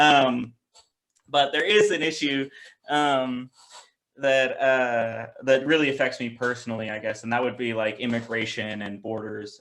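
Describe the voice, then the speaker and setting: Speaking with a Pacific Northwest accent, a man keeps a moderate pace and fairly even intonation. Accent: American, Pacific Northwest. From US, Seattle. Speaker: president of a youth political organization. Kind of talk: interview. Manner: hesitant, many fillers and restarts.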